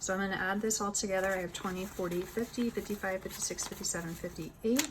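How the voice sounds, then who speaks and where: Through noticeable background noise, a woman with an American accent speaks at a medium pitch with fairly even intonation. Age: 20s. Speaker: budgeting vlogger. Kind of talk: tutorial. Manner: casual, conversational.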